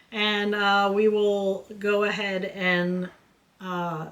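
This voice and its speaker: A woman's bright, sharp tone at a medium pitch. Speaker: beauty youtuber. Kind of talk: makeup tutorial.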